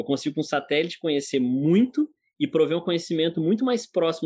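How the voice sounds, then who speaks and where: A man's high-pitched, very fast speech with a Goiás accent. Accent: Goiás rural accent (joked as French). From Goiás, Brazil. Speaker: agtech product director. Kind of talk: interview.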